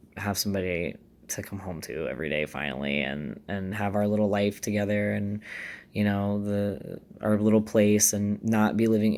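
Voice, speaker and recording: A man's fairly low voice with ordinary pitch variation at a fairly quick pace. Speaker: vlogger sharing transition update. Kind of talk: casual vlog monologue. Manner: informal with many fillers.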